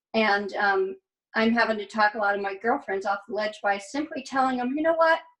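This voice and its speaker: Using a plain, everyday voice, a woman speaks at a fairly quick pace with fairly high pitch and ordinary pitch variation. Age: 60s. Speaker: participant in women's wellness circle. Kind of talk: casual group video chat. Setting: video call.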